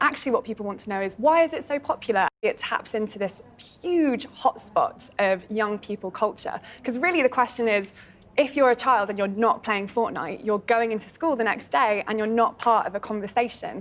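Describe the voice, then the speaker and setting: Music plays in the background as a woman speaks. Her voice is fairly high with lively intonation. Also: fairly quick pace. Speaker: gaming presenter. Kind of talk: interview answer.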